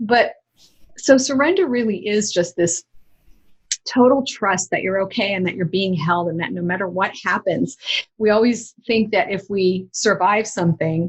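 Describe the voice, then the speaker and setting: A woman speaks in a medium pitch at a moderate pace. Her voice is somewhat breathy, with ordinary pitch variation. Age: 60s. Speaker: author and inspirational speaker. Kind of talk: interview conversation.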